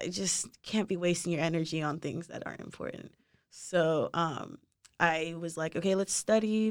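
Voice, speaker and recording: A woman with an unremarkable speaking voice and an American accent, fairly low in pitch with ordinary variation, at a moderate pace in a very clean recording with a silent background. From Nigeria, later Texas. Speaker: engineering student. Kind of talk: casual interview.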